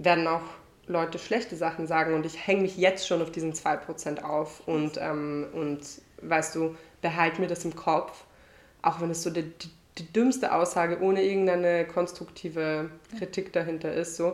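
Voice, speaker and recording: The speaker has an unremarkable speaking voice, keeping a moderate pace and fairly even intonation. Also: woman, fairly low pitch for a woman. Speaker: singer. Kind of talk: casual chat. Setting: at host's home on couch.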